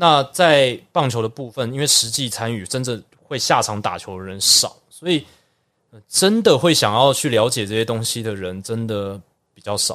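On a very clean recording with a silent background, a man at medium pitch talks at a moderate pace, his intonation lively and his loudness swinging widely. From Taiwan. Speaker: baseball broadcaster. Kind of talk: casual interview.

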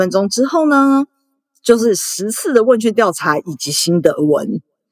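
A woman with very wide pitch swings, in a dry, close sound with no echo on a very clean recording with a silent background. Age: 30s. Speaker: former sex worker and volunteer activist. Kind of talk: interview.

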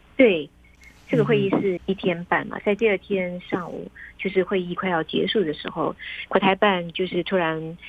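A woman speaks at a medium pitch with fairly even intonation. Her pace is moderate, and there is noticeable background noise. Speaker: foreign correspondent reporting from Beijing. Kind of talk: interview. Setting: remote call.

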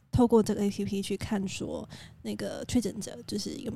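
The voice is soft-spoken and somewhat breathy, with a dark, mellow tone. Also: woman. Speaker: podcast co-host. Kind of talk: casual chat. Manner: quiet, soft-spoken.

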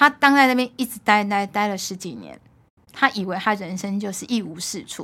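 In a normal speaking voice, a woman talks at a medium pitch and moderate pace, with ordinary pitch variation and big swings in loudness. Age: 50s. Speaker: food importer and mother of three. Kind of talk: casual chat.

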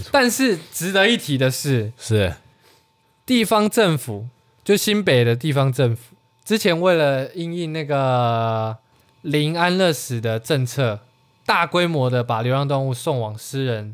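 This man talks very slowly in a Taiwanese accent at a fairly high pitch. His pitch swings very widely. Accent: Taiwanese Mandarin. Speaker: podcast co-host. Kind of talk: casual chat.

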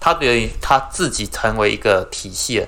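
A man speaks at a moderate pace with a Taiwanese accent. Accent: Taiwanese Mandarin. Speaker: podcast co-host. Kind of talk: casual chat.

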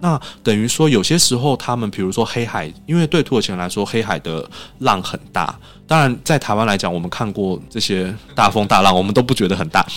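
A man with a plain, everyday voice speaks at a fairly quick pace, his fairly low pitch carried by lively intonation. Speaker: Turkey culture association head. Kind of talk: interview.

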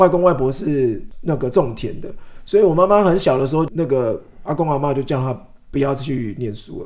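An ordinary speaking voice from a man, fairly high in pitch, at a moderate pace with lively intonation. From Taiwan, Changhua. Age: 40s. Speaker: author. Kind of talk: interview.

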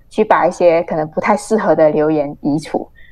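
Dark, mellow female voice with ordinary pitch variation. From Malaysia. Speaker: journalist. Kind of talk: interview.

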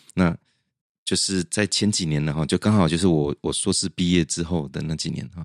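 Speaking in a very deep, low pitch, a man is heard dry and close with no echo. The recording is very clean, with a silent background. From central Taiwan. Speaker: music translator and lecturer. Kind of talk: interview.

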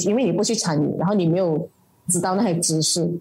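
A woman's dark, mellow, fairly low-pitched voice at a very fast pace, with ordinary pitch variation. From Malaysia. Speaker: political party committee member and activist. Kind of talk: interview. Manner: halting, many fillers.

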